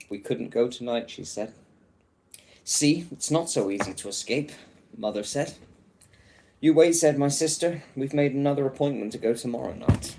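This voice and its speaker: A man with an English accent and a dark, mellow tone speaks at a moderate pace and a fairly high pitch, with ordinary pitch variation, big swings in loudness and long, frequent pauses. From England. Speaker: livestreamer reading a book aloud. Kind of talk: casual chat; reading aloud.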